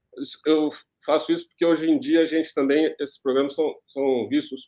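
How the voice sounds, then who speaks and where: In a fairly high pitch, a man speaks with monotone, flat intonation. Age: 60s. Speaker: journalist and executive producer. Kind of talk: panel discussion.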